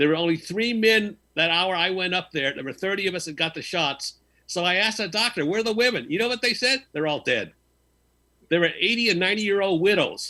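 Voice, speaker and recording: Against a quiet background, a man projects his raised, high voice with a bright, sharp tone, ordinary pitch variation and a fairly quick pace. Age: 70s. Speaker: call-in panelist. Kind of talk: casual chat.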